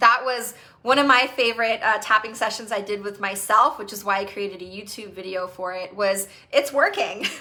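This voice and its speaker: A woman with a fairly high pitch and an animated tone talks at a moderate pace, with ordinary pitch variation. Her loudness swings widely over noticeable background noise. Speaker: EFT tapping coach. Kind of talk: live group session talk.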